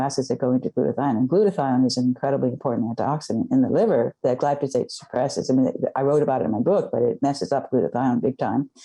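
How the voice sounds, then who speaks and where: Speaking very fast, a woman uses a very deep, low pitch, ordinary pitch variation and a dark, mellow tone. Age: 70s. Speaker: scientist and author. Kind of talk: interview. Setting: podcast interview.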